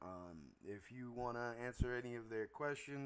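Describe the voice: Plain reading aloud, its pitch varying in an ordinary way.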